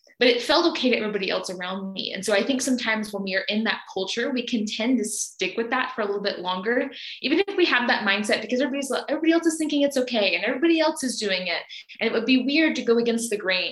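With an American accent, a woman talks very fast at a fairly high pitch with lively intonation over noticeable background noise. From US South, Alabama. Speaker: vegan coach. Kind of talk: casual interview chat.

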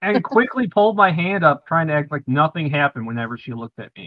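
A man talks at a fairly high pitch, his voice making very wide pitch swings. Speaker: tabletop game player. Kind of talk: casual banter in a game session.

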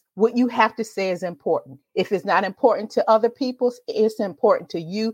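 A woman with an American accent speaks in a fairly high, animated voice. The background is quiet. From Virginia Beach, Virginia. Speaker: storyteller and podcast host. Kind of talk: casual interview chat. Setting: remote call, streamed live.

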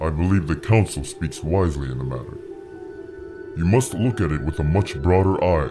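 A man puts on a character voice with a very deep, low pitch, speaking at a moderate pace over clear background noise. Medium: audio drama. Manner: calm, formal, measured.

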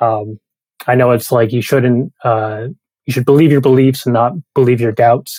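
Dry and close with no echo, a man's dark, mellow voice at medium pitch moves at a moderate pace with fairly even intonation. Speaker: entrepreneur asking a question. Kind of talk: casual question to host. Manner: hesitant, many fillers.

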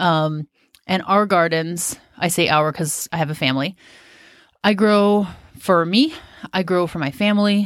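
A woman speaks at a moderate pace with a Pacific Northwest accent, her pitch fairly low for a woman and her pitch variation ordinary, on a very clean recording with a silent background. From US, Washington State. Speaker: podcast host, gardener. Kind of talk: solo podcast monologue. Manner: casual.

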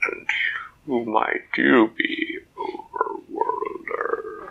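Using a put-on character voice, a man talks at a very slow pace with an extremely high pitch.

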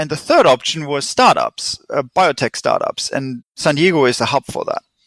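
A man is speaking. The recording is very clean with a silent background, and the sound is dry and close with no echo. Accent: German. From Germany. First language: German. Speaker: chemist and research company founder. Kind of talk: interview.

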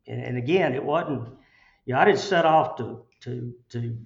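With an Alabama accent and some vocal fry, a man talks at a moderate pace in a medium pitch with ordinary pitch variation. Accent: Southern US, Alabama. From Chelsea, Alabama. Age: 60s. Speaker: construction company CEO. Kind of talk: interview, conversational. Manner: casual, folksy, halting with fillers.

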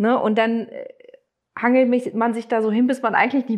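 A woman's high-pitched voice proceeds at a moderate speed. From Germany, Neustadt. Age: 40s. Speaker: former coaching client. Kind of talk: interview testimony.

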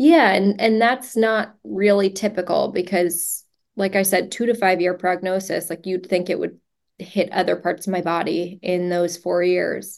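An unremarkable speaking voice moves at a fairly slow pace with fairly even intonation. The background is quiet. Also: woman. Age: 30s. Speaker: ALS patient and social media advocate. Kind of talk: casual interview.

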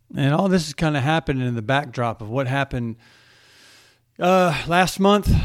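A man with a fairly high pitch speaks at a moderate pace with lively intonation and long, frequent pauses. The recording is very clean, with a silent background. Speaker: solo defense podcast host. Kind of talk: casual solo commentary on defense news. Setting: home recording at night. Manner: hesitant, many fillers.

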